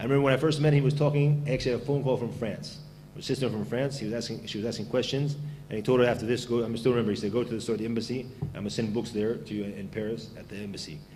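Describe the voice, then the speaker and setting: A man's medium-pitched voice at a very fast pace, with ordinary pitch variation, audible room echo and noticeable background noise. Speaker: Islamic preacher. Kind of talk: lecture. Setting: venue with audience and microphone. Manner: loud.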